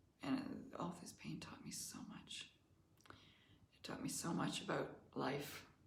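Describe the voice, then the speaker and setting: A woman whispers at a very slow pace with long, frequent pauses and big swings in loudness, and the room echo is audible. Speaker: life coach. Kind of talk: testimony. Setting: live online masterclass.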